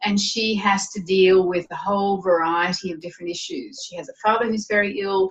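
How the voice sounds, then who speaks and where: In an Australian accent, a woman speaks at a moderate pace and medium pitch with ordinary pitch variation, and there is noticeable background noise. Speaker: novelist. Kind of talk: interview.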